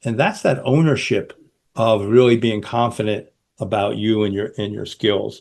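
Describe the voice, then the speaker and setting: Against a quiet background, a man with a fairly low voice and an American accent speaks with ordinary pitch variation. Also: moderate pace. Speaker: podcast host. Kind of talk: interview.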